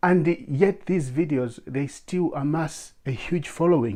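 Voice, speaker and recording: The background is quiet. A man speaks with a dark, mellow tone. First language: not English. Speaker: YouTuber and blogger. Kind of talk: advice monologue to camera. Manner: halting, stammers in English.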